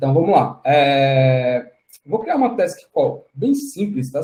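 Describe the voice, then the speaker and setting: Somewhat breathy, a man speaks at a fairly high pitch in a dark, mellow tone. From Brazil, Fortaleza (Ceará). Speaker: tech speaker, DevOps engineer. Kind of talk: online tech talk tutorial.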